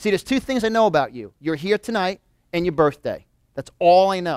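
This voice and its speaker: With a New York accent, a man talks at a fairly quick pace in a high pitch with ordinary pitch variation, captured in a dry, close, very clean recording with a silent background. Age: 40s. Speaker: motivational speaker. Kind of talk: motivational seminar talk. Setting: live audience in a room. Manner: animated.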